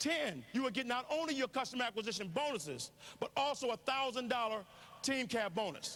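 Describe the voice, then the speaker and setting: A man with an extremely high pitch and a bright, sharp tone speaks at a fairly quick pace, animated and with lively intonation, his loudness very even. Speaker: network marketing speaker. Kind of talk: motivational business presentation. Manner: fast.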